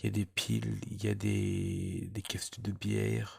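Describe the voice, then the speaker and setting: Someone soft-spoken talks in a very clean recording with a silent background. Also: man. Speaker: magnet fishing vlogger. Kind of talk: casual vlog address. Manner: halting, many repetitions.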